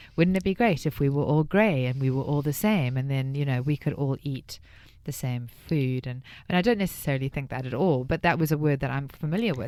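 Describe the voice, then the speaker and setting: On a very clean recording with a silent background, a woman with a South African accent speaks at a very fast pace in a very deep, low pitch with lively intonation. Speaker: radio host. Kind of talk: radio interview.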